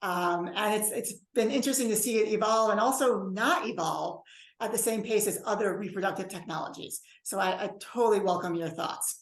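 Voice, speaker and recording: Talking at a fairly quick pace, the woman has a fairly high pitch with ordinary pitch variation. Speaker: bioethics professor. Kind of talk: lecture. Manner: fast.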